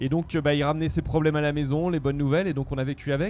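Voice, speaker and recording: A man's fairly high voice with a dark, mellow tone. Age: 40s. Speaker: entrepreneur. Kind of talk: interview. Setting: outdoors at music festival. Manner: hesitant with fillers.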